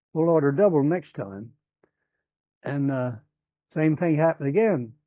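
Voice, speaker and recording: In an American accent, a man talks at a moderate pace. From Chincoteague Island, Virginia. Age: 80s+. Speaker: retired waterman. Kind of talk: oral history interview. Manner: halting.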